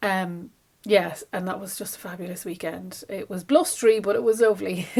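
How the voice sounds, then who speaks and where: Marked by vocal fry and big swings in loudness, the voice keeps ordinary pitch variation. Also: woman, medium pitch for a woman. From Ireland, Dublin. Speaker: craft vlogger and shop owner. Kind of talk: casual vlog chat. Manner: fast; chatty, animated.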